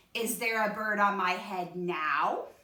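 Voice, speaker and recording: A woman's put-on character voice at medium pitch, fairly slow, with a slight echo. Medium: read story. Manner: fretful, anxious.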